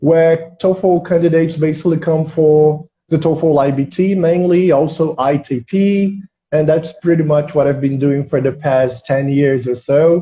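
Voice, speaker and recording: A man with a Portuguese accent, fairly high in pitch, at a fairly slow pace, with fairly even intonation and very even loudness. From Brazil, Rio de Janeiro. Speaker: English exam prep teacher. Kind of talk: casual chat.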